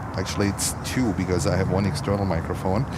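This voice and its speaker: The voice carries a German accent. Room echo is audible, and background noise is noticeable. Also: man. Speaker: livestream plane-spotting host. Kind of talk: live commentary. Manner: animated.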